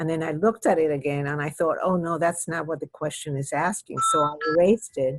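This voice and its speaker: Here a woman talks with a Spanish accent. Her pitch is fairly low, and her intonation is fairly even. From Cuba, raised from 13 in US. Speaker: retired judge and children's author. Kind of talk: interview. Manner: halting, with repetitions.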